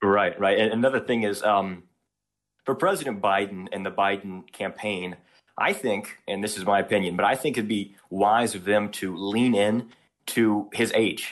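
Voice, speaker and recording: With an ordinary speaking voice, a man talks at a moderate pace, fairly low in pitch and fairly even in intonation, against a quiet background. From US South, Louisiana. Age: 20s. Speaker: caller. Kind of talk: call-in conversation. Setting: phone call.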